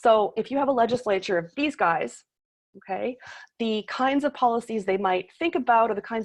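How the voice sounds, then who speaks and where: A woman speaks with a Canadian accent and a fairly high pitch. Her pace is fairly quick and her intonation lively. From Toronto, Canada. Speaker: political science professor. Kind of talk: lecture. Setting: video call. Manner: fast.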